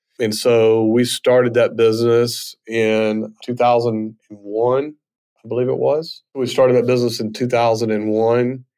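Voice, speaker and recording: This man speaks very slowly at a medium pitch, his intonation monotone and flat. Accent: Southern US. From US South, northwest Mississippi. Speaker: fintech CEO. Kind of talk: interview.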